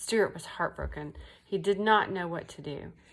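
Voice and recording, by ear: The pitch moves with ordinary variation. The text is read aloud in a natural voice.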